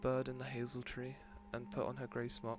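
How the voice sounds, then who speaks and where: A soft-spoken man at a medium pitch, with music in the background. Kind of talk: read story; sleep story.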